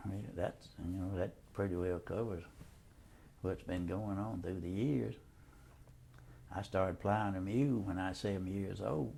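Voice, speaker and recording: This man has a very deep, low voice with a dark, mellow tone and a Southern US accent. He speaks at a moderate pace with ordinary pitch variation, leaving long, frequent pauses. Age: 80s+. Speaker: war veteran. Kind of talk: oral history interview.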